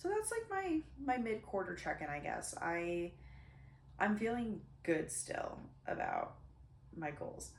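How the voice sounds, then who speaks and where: Long, frequent pauses break up speech at a fairly slow pace, with noticeable background noise behind it. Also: woman. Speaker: podcast host. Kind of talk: casual monologue podcast. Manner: casual, rambling.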